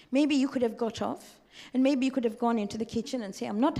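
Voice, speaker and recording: Amid noticeable background noise, a woman with a fairly high pitch talks at a very fast pace. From Tanzania. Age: 60s. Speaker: religious teacher. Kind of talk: lecture. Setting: community centre with audience. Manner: animated.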